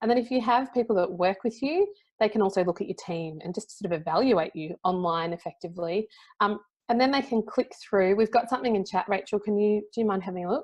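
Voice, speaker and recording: A woman with an Australian accent speaks at a very fast pace. Her pitch is medium, with ordinary variation. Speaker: LinkedIn and personal branding consultant. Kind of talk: presentation. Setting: conference talk with audience. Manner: conversational.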